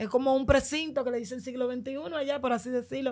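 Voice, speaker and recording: Speaking at a fairly quick pace, a woman uses a high voice in a flat monotone. The background is quiet. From Dominican Republic, Los Mina (Santo Domingo Este); Dominican Republic. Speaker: migrant telling her journey; podcast guest. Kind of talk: testimony. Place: studio. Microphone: studio mic.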